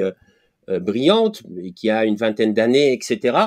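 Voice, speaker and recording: Very wide pitch swings mark a man's fairly quick speech in a very clean recording with a silent background. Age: 60s. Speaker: podcast host. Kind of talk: casual interview. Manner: halting.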